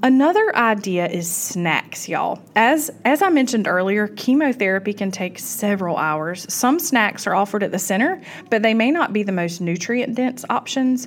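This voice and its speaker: With a Southern US accent, a woman speaks in a warm tone and lively intonation. She leaves hardly any pauses. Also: fairly high pitch for a woman, moderate pace. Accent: Southern US (Georgia). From US South, South Georgia. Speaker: podcast host, cancer survivor. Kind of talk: casual talk to listeners. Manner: warm, conversational with fillers.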